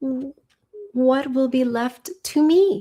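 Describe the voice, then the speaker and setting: Put-on character voice from a woman, pitched high. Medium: read story.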